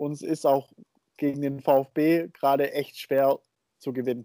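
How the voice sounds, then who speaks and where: A man's fairly high-pitched voice, dark and mellow in tone, at a fairly slow pace, with a dry, close sound and no echo. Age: 20s. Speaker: football podcast co-host. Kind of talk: casual chat. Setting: remote call.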